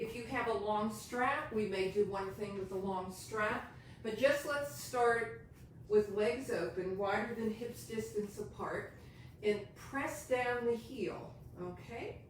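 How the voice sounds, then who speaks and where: A woman with an American accent speaks very slowly in a calm tone, at a fairly high pitch with ordinary variation. Audible room echo and noticeable background noise are present. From US, Pittsburgh. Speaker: yoga teacher. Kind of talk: tutorial. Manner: instructional, calm.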